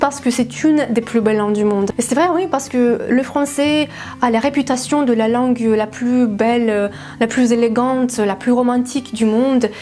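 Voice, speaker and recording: A woman with a Russian accent speaks in a high pitch at a fairly quick pace, her intonation fairly even, with noticeable background noise. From Russia, Siberia. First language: Russian (speaking French). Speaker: language teacher. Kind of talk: casual vlog monologue. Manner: hesitant, frequent fillers.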